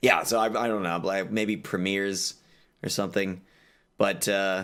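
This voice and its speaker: A man with an American accent speaks at a moderate pace in a fairly low pitch, using a normal speaking voice. The recording is very clean, with a silent background. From Texas. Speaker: streamer. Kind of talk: casual chat.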